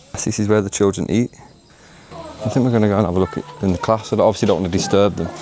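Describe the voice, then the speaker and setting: Over noticeable background noise, a man talks at a very fast pace with a fairly low pitch and ordinary pitch variation. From England, West Midlands (Wolverhampton). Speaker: travel vlogger. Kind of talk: travel vlog narration. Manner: casual, chatty.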